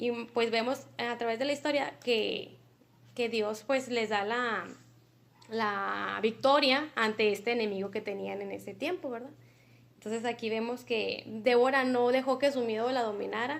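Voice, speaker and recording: A woman speaks at a moderate pace with fairly even intonation, her pitch fairly high. Hers is an unremarkable speaking voice. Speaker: Bible study teacher. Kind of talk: Bible study lesson.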